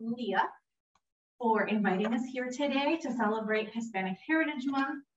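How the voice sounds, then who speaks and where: The woman talks at a moderate pace. There is light background noise and audible room echo. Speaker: program director hosting demo. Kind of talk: event introduction to audience. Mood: warm, lightly humorous. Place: meeting room. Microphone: camera far.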